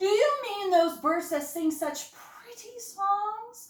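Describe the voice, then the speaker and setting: In a put-on character voice pitched extremely high, a woman speaks loudly and very slowly, with a slight echo. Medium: read story. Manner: loud, hearty.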